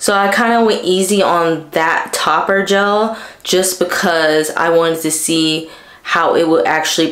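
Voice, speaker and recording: Noticeable background noise and audible room echo surround a woman speaking at a fairly slow pace. Her pitch is fairly low with ordinary variation, and her loudness is very even. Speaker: beauty vlogger. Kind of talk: casual vlog talk.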